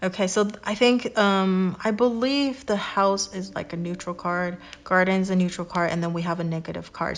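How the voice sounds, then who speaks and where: At a moderate pace, a woman with a plain, everyday voice speaks at a medium pitch with fairly even intonation over a quiet background. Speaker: tarot reader. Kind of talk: tarot reading to camera.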